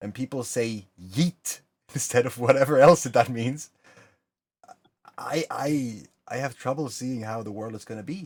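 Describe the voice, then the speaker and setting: A man with a Norwegian accent speaks at a medium pitch and a fairly slow pace, with ordinary pitch variation, long and frequent pauses, and big swings in loudness. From Norway. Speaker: channel host, community talk. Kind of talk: casual chat.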